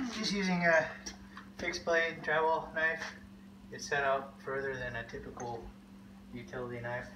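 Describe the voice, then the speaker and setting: Lively intonation amid noticeable background noise. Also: man. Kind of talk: tutorial. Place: garage. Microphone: camera far.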